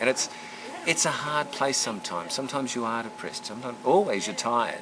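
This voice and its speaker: A man's fairly quick speech comes through with noticeable background noise. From Australia. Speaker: former diplomat. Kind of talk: reunion interview.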